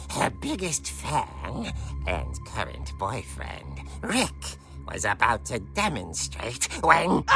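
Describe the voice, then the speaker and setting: A man's put-on character voice at a very slow pace, with clear music in the background. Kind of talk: horror narration. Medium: video game. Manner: relishing, theatrical.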